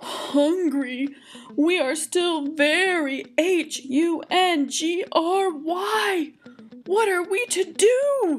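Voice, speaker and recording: A put-on character voice at extremely high pitch creeps along at a very slow pace. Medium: read story. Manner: loud, blunt.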